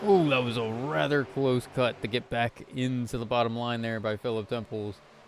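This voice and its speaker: A man at a moderate pace, his pitch medium and its variation ordinary. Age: 20s. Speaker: sim racing commentator. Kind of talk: live commentary. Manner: animated.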